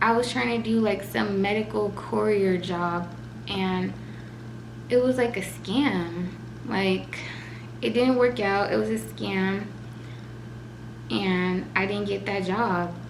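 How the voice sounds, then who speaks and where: Over noticeable background noise and audible room echo, a woman with a tearful tone speaks very slowly at a fairly low pitch, her voice swinging very widely between long, frequent pauses. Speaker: vlogger. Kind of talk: emotional personal vlog. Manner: shaky, tearful.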